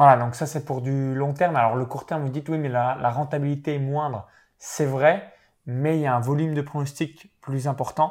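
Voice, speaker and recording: This man has an ordinary speaking voice, fairly high in pitch, with fairly even intonation at a moderate pace. The recording is very clean, the background silent. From eastern France, Saône-et-Loire (near Chalon-sur-Saône). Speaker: professional sports bettor and online entrepreneur. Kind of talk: interview.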